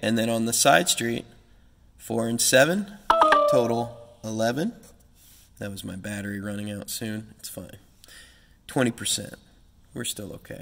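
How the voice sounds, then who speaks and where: There is noticeable background noise behind the speaker. A man talks at a moderate pace in a medium pitch with ordinary pitch variation. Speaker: traffic signal technician. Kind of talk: casual tutorial talk to camera. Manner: hesitant, filler-heavy.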